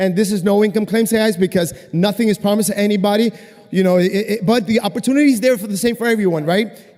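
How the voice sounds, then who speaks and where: A man's high-pitched voice at a very fast pace, fairly even intonation, amid noticeable background noise. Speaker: network marketing distributor. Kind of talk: testimony.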